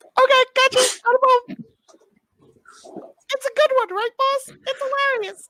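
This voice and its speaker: An extremely high-pitched put-on character voice with long, frequent pauses. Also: moderate pace. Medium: actual play. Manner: eager, simple.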